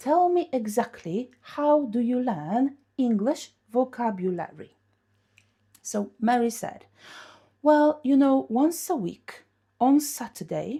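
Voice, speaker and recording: A woman with a Polish accent speaks in a high voice that has a dark, mellow tone and very wide pitch swings. The recording is very clean, with a silent background. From Poland. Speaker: English teacher. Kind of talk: lesson with storytelling. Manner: animated.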